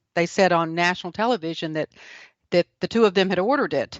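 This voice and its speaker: With a Southern US accent, a woman talks with ordinary pitch variation. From South Carolina. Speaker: author and speaker. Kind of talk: interview.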